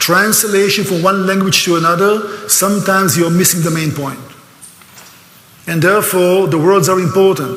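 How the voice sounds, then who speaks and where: A man speaks in a high pitch. The room echo is audible, and there is noticeable background noise. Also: moderate pace. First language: Hebrew. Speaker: speaker on Israel, tour guide. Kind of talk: lecture. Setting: church, stage with audience. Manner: animated.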